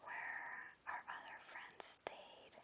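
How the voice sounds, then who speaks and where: The voice is a whisper. It moves at a very slow pace. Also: woman. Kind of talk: ASMR travel vlog voice-over. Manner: whispered; soft, calming.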